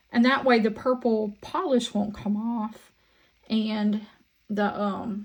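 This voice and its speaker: A woman talks very slowly in a Southern US accent, her voice somewhat breathy. Her pitch is fairly high, and her intonation stays monotone and flat. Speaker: resin crafter. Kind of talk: crafting tutorial chat. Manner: casual, chatty.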